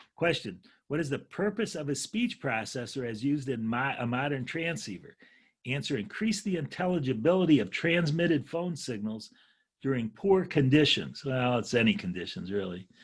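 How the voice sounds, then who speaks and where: Loud and fairly high-pitched, a man speaks at a moderate pace with very wide pitch swings. The recording is very clean, with a silent background. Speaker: ham radio instructor. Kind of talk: lecture. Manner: halting.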